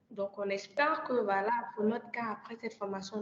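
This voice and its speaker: At a moderate pace, a woman talks in a normal speaking voice with a fairly high pitch and ordinary pitch variation. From Côte d'Ivoire. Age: 20s. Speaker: energy master's student and climate ambassador. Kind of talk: podcast interview.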